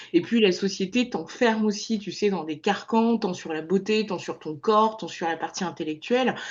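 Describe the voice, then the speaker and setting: At a moderate pace, a woman has an ordinary speaking voice with ordinary pitch variation. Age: 30s. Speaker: podcast host. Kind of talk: podcast interview.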